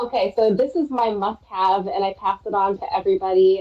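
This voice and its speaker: A woman's medium-pitched voice with a Minnesotan accent. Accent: Minnesota. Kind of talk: casual chat.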